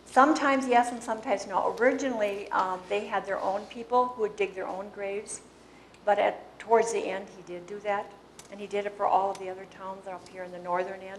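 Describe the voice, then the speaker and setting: A fairly quick woman with a Wisconsin accent, medium pitch, fairly even intonation and big swings in loudness, over noticeable background noise. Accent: Upper Midwest (Wisconsin). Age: 70s. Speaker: local historian. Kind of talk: Q&A after a talk. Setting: public meeting with audience. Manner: informal, hesitant.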